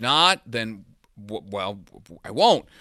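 Speaking with a Spanish accent, a man has a bright, sharp tone. The sound is dry and close with no echo, on a very clean recording with a silent background. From Venezuela. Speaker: sports journalist. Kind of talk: casual chat.

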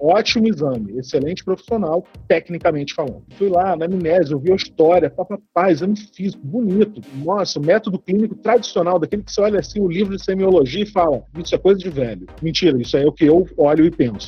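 At a very fast pace with hardly any pauses, a man talks at a high pitch with ordinary pitch variation. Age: 30s. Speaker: family doctor. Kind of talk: casual chat.

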